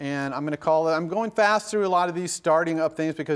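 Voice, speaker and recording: The man's voice sits fairly high, with ordinary pitch variation. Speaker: university lecturer. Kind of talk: lecture. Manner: fast.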